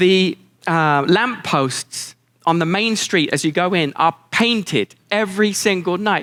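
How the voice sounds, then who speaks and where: In a British accent, a man with a high pitch and a bright, sharp tone speaks with lively intonation on a very clean recording with a silent background. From England. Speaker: keynote speaker. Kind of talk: keynote speech to live audience. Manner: warm, down-to-earth, dry humor.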